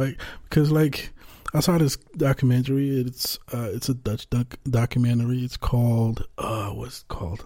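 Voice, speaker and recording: Fairly even intonation marks this somewhat breathy voice. Its tone is dark and mellow, and the pace is moderate. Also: man, medium pitch for a man. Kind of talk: casual chat. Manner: halting.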